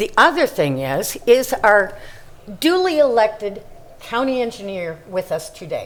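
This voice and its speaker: A woman's fairly high voice with an American accent, very wide pitch swings, a fairly slow pace and audible room echo. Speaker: resident speaking at public comment. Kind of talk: public comment at council meeting. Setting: council chambers. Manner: animated.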